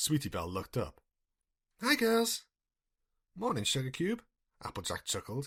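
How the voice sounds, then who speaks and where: A man speaks at a fairly quick pace in a somewhat breathy voice, his pitch swinging very widely. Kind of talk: audiobook-style fanfiction reading, solo, unedited. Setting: home recording, single voice with no editing. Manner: plain reading, character voices not distinguished.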